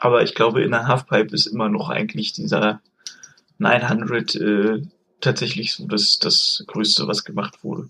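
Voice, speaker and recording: His tone is bright and sharp as this man's voice moves through very wide pitch swings. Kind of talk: casual chat.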